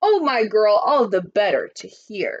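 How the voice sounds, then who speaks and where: A woman puts on a character voice, speaking fairly slowly at a high pitch. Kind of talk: picture book read-aloud. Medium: read story.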